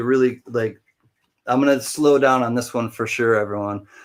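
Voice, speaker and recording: In a very clean recording with a silent background, a man uses a normal speaking voice at medium pitch with fairly even intonation. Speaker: live auctioneer. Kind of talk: live auction hosting, casual and chatty.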